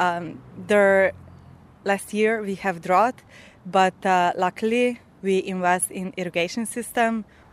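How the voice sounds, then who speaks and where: With a Slovenian accent, a woman of medium pitch speaks at a very slow pace, using fairly even intonation and long, frequent pauses. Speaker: farmer. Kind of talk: interview.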